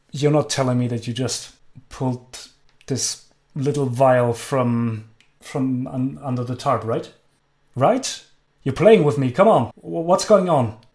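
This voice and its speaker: Using a gruff, put-on character voice, a man speaks fairly slowly with long, frequent pauses, medium pitch and ordinary pitch variation. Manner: gruff, suspicious, impatient; aggressive, demanding.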